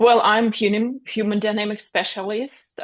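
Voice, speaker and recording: A woman with a non-native accent against a quiet background. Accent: foreign. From Russia. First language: Russian. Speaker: author and speaker. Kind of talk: interview.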